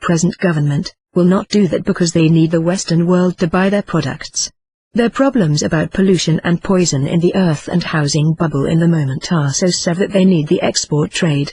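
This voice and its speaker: Her voice has a dark, mellow tone and is somewhat breathy as the woman talks at a fairly quick pace. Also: dry, close sound with no echo. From Germany. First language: German. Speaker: video blogger. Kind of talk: personal commentary monologue. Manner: halting non-native phrasing.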